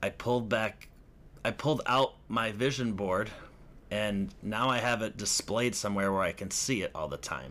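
Bright and sharp in tone with vocal fry, a man with an American accent speaks at a moderate pace, his fairly low pitch showing ordinary variation. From US Midwest, Chicago northern suburbs (Lake County, Illinois). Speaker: podcast host and actor. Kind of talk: casual solo chat.

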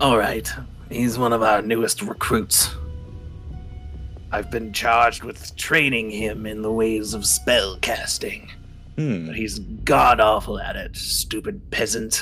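A man puts on a character voice at medium pitch and a fairly slow pace while clear music plays in the background. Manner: haughty, curt, contemptuous.

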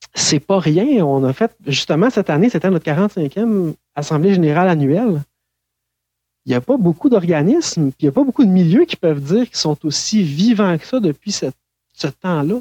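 The speaker keeps a moderate pace over a quiet background. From Quebec, Saint-Hyacinthe. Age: 30s. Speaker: director of an advocacy organization for blind people. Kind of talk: interview. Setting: remote call.

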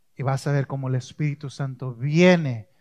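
On a very clean recording with a silent background and a dry, close sound with no echo, a man with a medium pitch speaks at a fairly slow pace in a calm, dark, mellow tone that is somewhat breathy, his intonation fairly even. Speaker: pastor. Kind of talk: sermon. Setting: church with congregation. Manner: calm, never raises voice.

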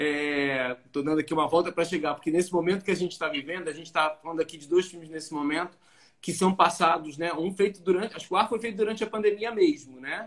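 At a very fast pace, a high-pitched man speaks with ordinary pitch variation and big swings in loudness. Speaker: live stream host, film festival curator. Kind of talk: casual online interview. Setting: video call live stream.

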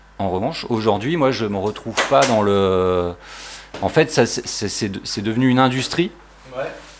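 With noticeable background noise, a man at a medium pitch speaks very slowly and with lively intonation. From southern France (Var, Provence coast). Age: 40s. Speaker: veteran skateboarder and photographer. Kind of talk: casual chat.

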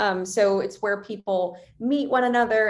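Speaking at a moderate pace, a woman has a plain, everyday voice with a fairly high pitch. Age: 20s. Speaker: venture capital investor. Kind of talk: interview.

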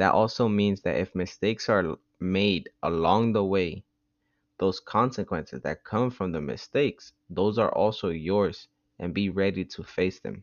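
A man speaks at a moderate pace in a plain, everyday voice, fairly low in pitch, with ordinary pitch variation. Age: 20s. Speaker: podcast host. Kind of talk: casual monologue. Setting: at home.

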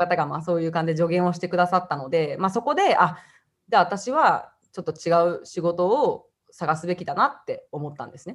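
A woman's fairly low-pitched, ordinary speaking voice, with ordinary pitch variation, a fairly quick pace and big swings in loudness. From Japan (Hiroshima and Osaka), time in Australia. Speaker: YouTuber from a large family. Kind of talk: interview.

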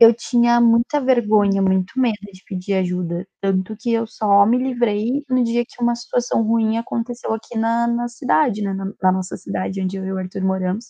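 A woman's somewhat breathy voice at medium pitch, dark and mellow in tone, with fairly even intonation at a moderate pace, in a dry, close sound with no echo. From southern Brazil, Rio Grande do Sul. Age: 20s. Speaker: advertising professional. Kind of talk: casual chat.

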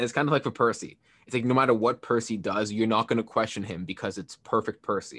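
A very fast, medium-pitched male voice over a quiet background. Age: 20s. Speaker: podcast co-host. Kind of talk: casual chat. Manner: animated.

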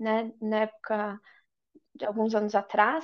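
In a normal speaking voice, the words come at a fairly slow pace. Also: woman. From Brazil. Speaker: yoga and tantra teacher. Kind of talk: casual interview chat.

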